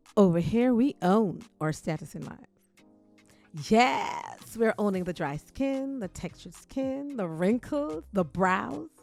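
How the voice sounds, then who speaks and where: An upbeat woman's voice at medium pitch, very slow in pace, with very wide pitch swings and music in the background. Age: 60s. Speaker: beauty vlogger. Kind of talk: casual makeup tutorial to camera. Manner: upbeat, chatty.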